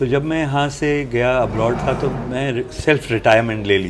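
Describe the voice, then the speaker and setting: With noticeable noise in the background and an audible echo off the room, a man varies his pitch an ordinary amount. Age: 70s. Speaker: film producer and director. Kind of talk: interview.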